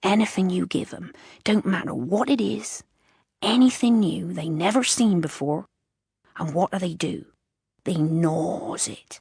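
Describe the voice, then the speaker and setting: A female-sounding, put-on character voice comes out croaky, guttural and soft-spoken. It sits at a medium pitch and moves at a fairly slow pace. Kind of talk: rural, rough speech.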